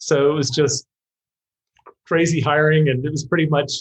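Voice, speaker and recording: A man's fairly high, somewhat breathy voice, flat and monotone, at a moderate pace. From UK. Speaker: marketing executive. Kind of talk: interview.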